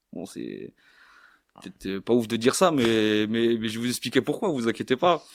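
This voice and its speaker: A man's medium-pitched voice at a moderate pace, dry and close with no echo, ordinary pitch variation, and big swings in loudness. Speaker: rapper. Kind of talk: casual chat. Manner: halting, many repetitions and fillers.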